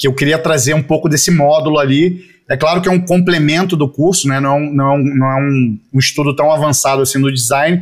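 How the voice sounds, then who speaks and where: A man with an unremarkable speaking voice and a fairly high pitch speaks at a fairly quick pace with hardly any pauses, very even loudness and fairly even intonation. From Rio de Janeiro, Brazil (Jacarepaguá). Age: 40s. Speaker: advertising creative director. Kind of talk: casual interview.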